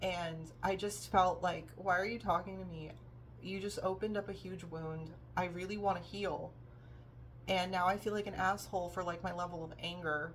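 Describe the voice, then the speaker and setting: A woman at a moderate pace amid audible room echo. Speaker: vlogger. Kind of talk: personal vlog monologue. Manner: halting, many fillers.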